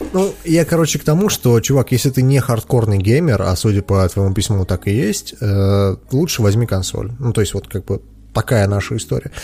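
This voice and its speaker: At a moderate pace, a man speaks with a fairly low pitch and lively intonation. His voice is somewhat breathy. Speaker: podcast host. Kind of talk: casual chat, Q&A. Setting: studio, streamed live with video. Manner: informal, joking.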